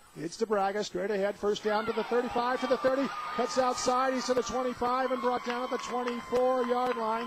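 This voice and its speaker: Against crowd noise in the background, a man talks at an extremely high pitch with ordinary pitch variation. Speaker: radio play-by-play announcer. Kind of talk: sports radio play-by-play.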